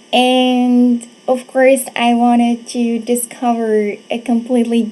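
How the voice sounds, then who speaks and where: A woman's high voice comes through noticeable background noise. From Morocco, Casablanca. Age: 20s. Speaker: presenter, teacher. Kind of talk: presentation.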